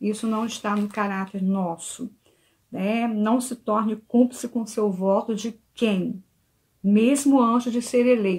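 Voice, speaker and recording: A woman's very slow, somewhat breathy speech, fairly high in pitch with fairly even intonation. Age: 60s. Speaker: church member giving a talk. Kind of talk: church talk. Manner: earnest.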